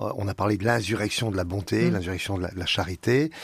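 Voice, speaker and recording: This man's fairly low, somewhat breathy voice moves at a moderate pace in a very clean recording with a silent background. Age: 70s. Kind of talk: radio interview. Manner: halting, with many repetitions.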